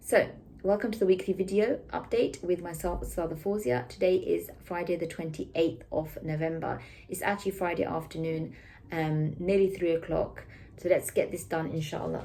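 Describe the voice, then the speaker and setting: Speaking with a British accent, a woman has a fairly low pitch, a dark, mellow tone and vocal fry. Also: ordinary pitch variation, moderate pace. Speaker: school teacher giving weekly update. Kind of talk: weekly school announcements to camera.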